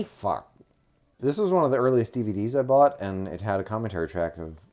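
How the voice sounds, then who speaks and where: A man talks with an American accent and lively intonation at a fairly quick pace. Music plays in the background. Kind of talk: casual podcast movie review.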